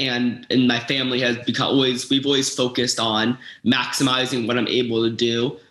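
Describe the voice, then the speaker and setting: In an American accent, a man talks at a fairly quick pace and medium pitch. His intonation is monotone and flat, his loudness very even. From Florida. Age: 20s. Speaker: patient with a rare metabolic disorder. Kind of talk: personal testimony interview. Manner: halting, with fillers and restarts.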